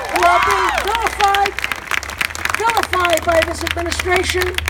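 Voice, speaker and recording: Noticeable background noise accompanies a speaker talking with an American accent. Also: woman. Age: 70s. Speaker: activist speaker. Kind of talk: rally speech. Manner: impassioned.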